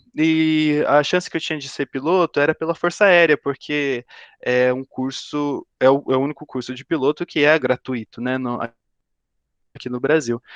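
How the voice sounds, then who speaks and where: This man's voice sits fairly high for a man and moves at a moderate pace. The sound is dry and close with no echo, and the background is quiet. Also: fairly even intonation. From Brazil, São Paulo state (São José dos Campos). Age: 20s. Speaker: aerospace engineering student, career talk speaker. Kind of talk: career talk to students via video call. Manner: halting, many fillers and repetitions.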